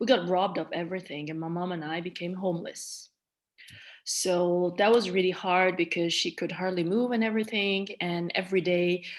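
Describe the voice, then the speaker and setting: On a very clean recording with a silent background, a woman with a Malagasy accent speaks at a moderate pace with fairly even intonation. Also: medium pitch for a woman. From Madagascar, then France-Switzerland border. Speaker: trauma survivor, interviewee. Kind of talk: personal testimony in interview.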